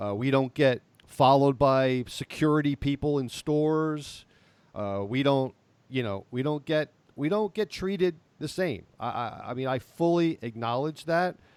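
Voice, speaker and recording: Recorded very cleanly with a silent background and a dry, close sound with no echo, a man with an ordinary speaking voice talks at a moderate pace, fairly high in pitch, with ordinary pitch variation. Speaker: podcast co-host. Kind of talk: casual discussion.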